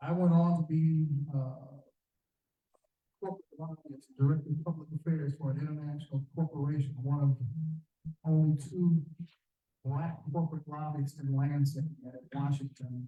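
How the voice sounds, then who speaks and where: A man with a fairly high pitch speaks in a flat monotone, with long, frequent pauses and a dark, mellow, somewhat breathy tone. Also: moderate pace. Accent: American. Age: 70s. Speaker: community leader, former corporate lobbyist. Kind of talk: public forum speech. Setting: community forum with audience. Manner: direct, earnest; halting with fillers and repetitions.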